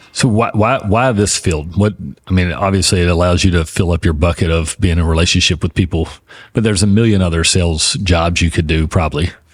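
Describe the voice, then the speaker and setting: Very fast and somewhat breathy, a man speaks in a very deep, low pitch with very even loudness and ordinary pitch variation on a very clean recording with a silent background. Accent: American. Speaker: podcast host. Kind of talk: casual interview chat.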